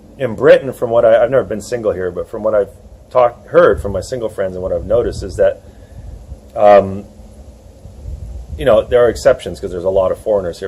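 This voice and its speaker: A man with a New York accent talks at a very fast pace with big swings in loudness and long, frequent pauses, over noticeable background noise. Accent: American (New York). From USA. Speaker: dating coach and author. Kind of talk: interview. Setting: outdoors in a churchyard.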